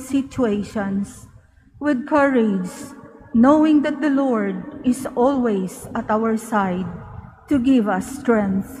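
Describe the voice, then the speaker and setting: There is noticeable background noise. A woman talks at a very slow pace with a high pitch. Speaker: lector at mass. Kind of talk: scripture reading. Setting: church.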